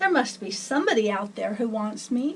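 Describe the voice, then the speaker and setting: A woman's put-on character voice, fairly high in pitch, with lively intonation and a fairly quick pace. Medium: read story. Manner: plaintive, hopeful.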